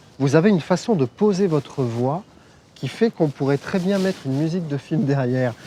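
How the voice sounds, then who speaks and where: Lively intonation runs through a man's dark, mellow voice as he speaks at a moderate pace. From southern France, Nice. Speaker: journalist and TV host. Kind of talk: casual interview. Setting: outdoors. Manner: frequent backchannel interjections.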